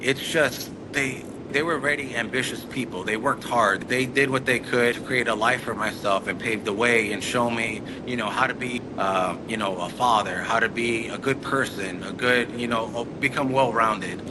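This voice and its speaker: Noticeable background noise runs under a man's voice. He speaks with hardly any pauses and fairly even intonation. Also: medium pitch for a man, moderate pace. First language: Spanish. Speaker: entrepreneur. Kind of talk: interview. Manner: halting.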